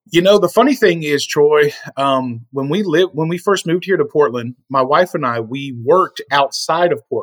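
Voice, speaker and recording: A man with an unremarkable speaking voice, fairly high in pitch, at a moderate pace with ordinary pitch variation, in a dry, close sound with no echo. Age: 40s. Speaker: small business owner. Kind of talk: casual chat.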